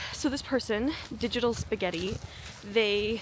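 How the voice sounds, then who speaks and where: Over noticeable background noise, a woman talks at a moderate pace with lively intonation in a dry sound with no echo. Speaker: vlogger. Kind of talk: casual vlog chat. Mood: chatty, enthusiastic. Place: open country. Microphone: phone near.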